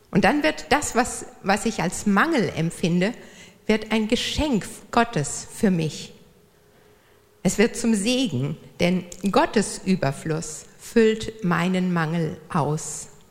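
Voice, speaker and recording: A woman at a very slow pace, with lively intonation, long, frequent pauses and noticeable background noise. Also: medium pitch for a woman. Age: 50s. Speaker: church volunteer, speaker. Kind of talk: church talk. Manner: hesitant, many fillers.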